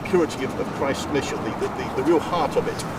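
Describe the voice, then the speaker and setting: A man with an English accent speaks at a very fast pace in a high pitch, with ordinary pitch variation. Noticeable background noise runs behind him. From England, Coventry. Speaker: Salvation Army minister. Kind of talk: casual interview.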